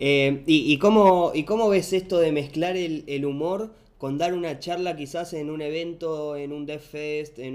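A man in a Rioplatense accent, fairly high-pitched, at a very slow pace. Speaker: podcast co-host. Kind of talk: casual interview.

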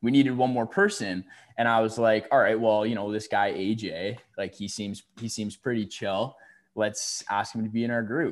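In a Canadian accent, a man talks at a moderate pace in a plain, everyday voice of medium pitch with fairly even intonation. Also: very clean recording, silent background. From Ontario, Canada. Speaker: university student and podcast guest. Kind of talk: casual chat.

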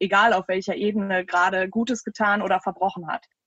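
A woman with a plain, everyday voice speaks at a fairly quick pace and medium pitch, her intonation fairly even, in a dry, close recording with no echo. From Düsseldorf, Germany. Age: 30s. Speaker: local politician and candidate. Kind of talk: casual interview. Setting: video call. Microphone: poor sound quality.

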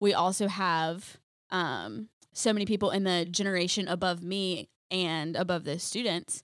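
An unremarkable speaking voice moves at a moderate pace with fairly even intonation, captured in a very clean recording with a silent background. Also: woman, medium pitch for a woman. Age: 20s. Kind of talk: casual chat. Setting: studio.

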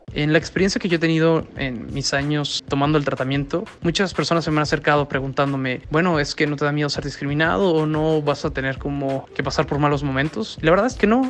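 Hardly any pauses, ordinary pitch variation and music in the background. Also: man, fairly high pitch for a man. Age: 20s. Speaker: person living with HIV sharing experience. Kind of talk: interview testimony.

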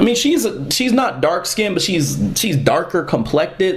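A man speaks at a fairly slow pace with very wide pitch swings, amid noticeable background noise and audible room echo. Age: 30s. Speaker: podcast host and comic creator. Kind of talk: solo commentary podcast.

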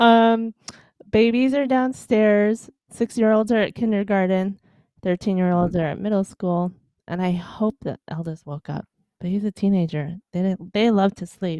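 A dark, mellow tone with an American accent, in a dry, close sound with no echo. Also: woman, medium pitch for a woman, ordinary pitch variation, fairly slow pace. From Chicago, US Midwest. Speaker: author and podcast host, mother of twins. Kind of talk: interview conversation. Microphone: good headphones.

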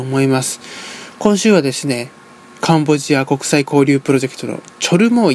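The speaker talks at a fairly quick pace with lively intonation. Noticeable background noise can be heard. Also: man. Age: 20s. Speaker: radio host, university student. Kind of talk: radio show hosting.

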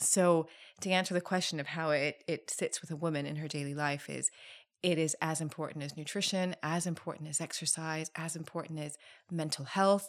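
In a very clean recording with a silent background, a woman talks at a fairly quick pace with a very deep, low pitch and monotone, flat intonation. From Thailand. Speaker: spa founder. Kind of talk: interview. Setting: studio.

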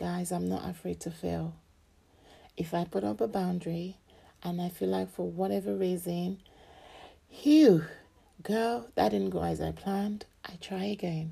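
Speaking at a fairly slow pace with long, frequent pauses, the voice comes through on a very clean recording with a silent background. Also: woman. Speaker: podcast host, self-help and faith. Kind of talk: casual monologue.

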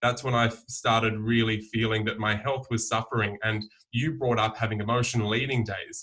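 A man with an Australian accent, in a bright, sharp tone with monotone, flat intonation. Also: medium pitch for a man, moderate pace. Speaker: herbalist. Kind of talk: casual chat. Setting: video call.

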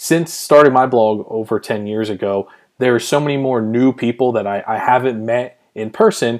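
A plain, everyday voice speaks with an American accent at a moderate pace and with ordinary pitch variation. The background is quiet. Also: man. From Pennsylvania, US. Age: 30s. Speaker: podcast host and blogger. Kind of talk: solo podcast monologue.

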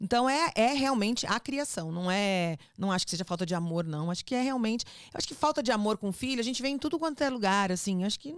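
Talking at a very fast pace with hardly any pauses, a woman with a São Paulo accent uses a fairly high pitch and very wide pitch swings on a very clean recording with a silent background. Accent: São Paulo Brazilian Portuguese. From born in Rio de Janeiro, raised in São Paulo from age 10. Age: 50s. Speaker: radio host. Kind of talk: casual chat. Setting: studio.

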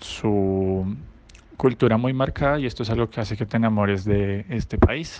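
Fairly even intonation from a man with a fairly low pitch. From Colombia, Bogotá. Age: 20s. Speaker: former exchange student. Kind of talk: recorded testimonial.

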